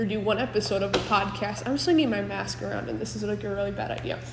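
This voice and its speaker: At a moderate pace, a woman speaks amid noticeable background noise and audible room echo. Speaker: podcast host. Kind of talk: casual monologue. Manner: voice cracks.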